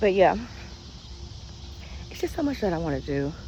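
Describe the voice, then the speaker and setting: Soft-spoken with vocal fry, a woman talks at a very fast pace in a fairly low pitch with a dark, mellow tone. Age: 40s. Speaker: vlogger. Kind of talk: casual chat.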